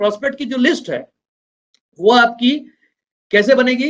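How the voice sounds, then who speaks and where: This man's pitch is extremely high, with ordinary pitch variation. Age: 60s. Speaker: network marketing business trainer. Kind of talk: motivational business training talk.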